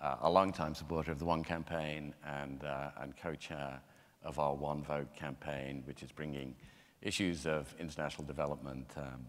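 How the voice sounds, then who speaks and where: A man speaks at a moderate pace in a very deep, low pitch with vocal fry. His intonation is monotone and flat, and there is audible room echo. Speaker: panel moderator, head of an anti-poverty organization. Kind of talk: panel moderation. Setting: theater stage with audience. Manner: hesitant, many fillers.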